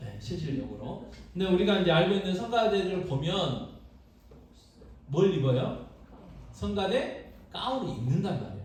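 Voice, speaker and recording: A man with a Jeolla accent talks in a high pitch, his tone animated and his intonation lively. He takes long, frequent pauses, and room echo is audible. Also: moderate pace. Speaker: pastor. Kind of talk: sermon. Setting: church.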